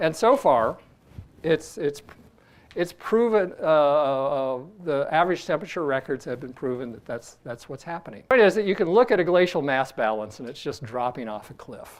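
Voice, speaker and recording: This man has an ordinary speaking voice, fairly high in pitch, with lively intonation, big swings in loudness and a moderate pace against a quiet background. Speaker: geologist. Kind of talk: podcast discussion.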